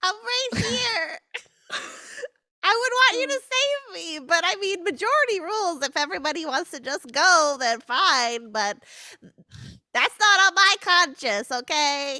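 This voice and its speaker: In a put-on character voice, a woman speaks at a fairly slow pace with an extremely high pitch and very wide pitch swings. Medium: actual play. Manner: anxious, whiny.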